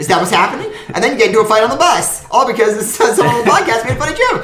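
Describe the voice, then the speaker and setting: Music plays behind a man who talks at a very fast pace and an extremely high pitch, with very wide pitch swings and audible room echo. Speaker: podcast co-host. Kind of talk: casual chat.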